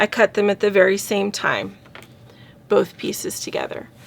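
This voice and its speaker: A woman's voice with vocal fry at a moderate pace. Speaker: scrapbooking crafter. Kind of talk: tutorial. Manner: casual, with fillers.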